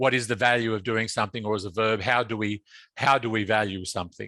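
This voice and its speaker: Against a quiet background, a man talks at a fairly quick pace and medium pitch. He speaks with an Australian accent. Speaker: asset management consultant. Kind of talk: webinar presentation. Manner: halting, many fillers and repetitions.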